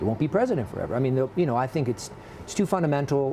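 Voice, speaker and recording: A man with an American accent and ordinary pitch variation, over noticeable background noise. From United States. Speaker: business executive. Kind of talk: TV interview.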